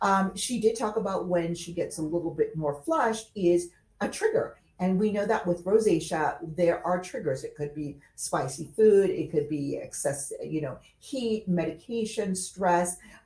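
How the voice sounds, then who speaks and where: A woman speaks at a moderate pace with a dark, mellow tone that is somewhat breathy. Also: medium pitch for a woman, ordinary pitch variation. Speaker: esthetician educator. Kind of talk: tutorial.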